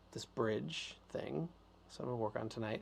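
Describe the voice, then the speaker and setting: A man is speaking. His tone is relaxed. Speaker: record producer and live stream host. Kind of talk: casual live stream chat and music tutorial. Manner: relaxed, casual with many fillers.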